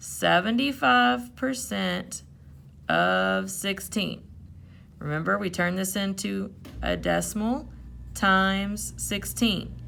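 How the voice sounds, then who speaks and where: A woman talks at a very slow pace, leaving long, frequent pauses. Audible room echo surrounds her voice. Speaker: math teacher. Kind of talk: tutorial. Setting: recorded video lesson.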